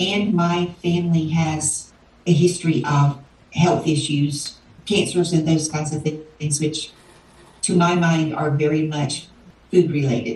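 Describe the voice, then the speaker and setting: Speaking at a moderate pace with fairly even intonation, a woman with a Southern US accent has a very deep, low pitch, and audible room echo surrounds her. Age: 60s. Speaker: interviewee, weight loss client. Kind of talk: interview. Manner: hesitant, many fillers.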